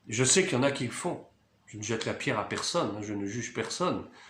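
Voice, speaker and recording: A man's voice with audible room echo. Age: 60s. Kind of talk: video monologue, sermon-like commentary.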